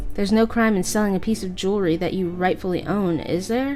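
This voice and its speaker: Music plays in the background as a woman speaks at a medium pitch with fairly even intonation. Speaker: let's play commentator. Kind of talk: reading game dialogue aloud.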